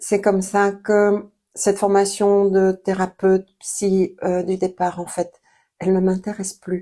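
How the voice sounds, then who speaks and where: On a very clean recording with a silent background, a woman speaks very slowly in a monotone, flat intonation, her medium pitch carrying a dark, mellow tone. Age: 60s. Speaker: therapist and coach. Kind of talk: interview monologue. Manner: hesitant with frequent 'euh'.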